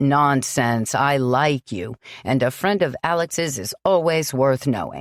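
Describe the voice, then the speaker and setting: A woman puts on a booming character voice with very deep, low pitch, recorded very cleanly against a silent background with a dry, close sound and no echo. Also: fairly slow pace, lively intonation. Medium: read story. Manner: hearty.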